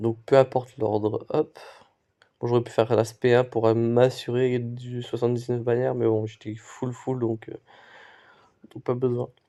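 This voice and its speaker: A man's medium-pitched, dark and mellow voice, flat and monotone, at a fairly slow pace with long, frequent pauses and big swings in loudness. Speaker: gaming youtuber. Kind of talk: live gameplay commentary. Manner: halting, with pauses and stumbles.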